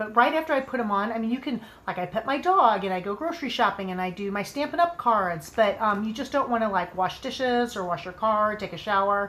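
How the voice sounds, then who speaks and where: Her pitch is medium and varies in an ordinary way. This woman speaks at a fairly quick pace. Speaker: nail product sales stylist. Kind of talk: live product demo and sales pitch. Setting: livestream video. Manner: fast.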